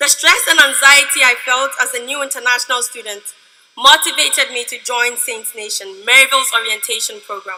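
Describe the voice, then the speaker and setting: A woman speaks at a fairly quick pace in a high, raised, projected voice. Her loudness swings widely. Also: ordinary pitch variation. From Ghana. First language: a Ghanaian language. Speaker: student speaker. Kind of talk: commencement speech. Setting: stage with audience.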